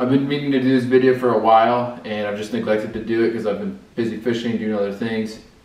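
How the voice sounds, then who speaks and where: There is audible room echo as a man speaks very fast with fairly even intonation. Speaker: fishing channel host. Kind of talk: casual vlog chat. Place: home room. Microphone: camera far.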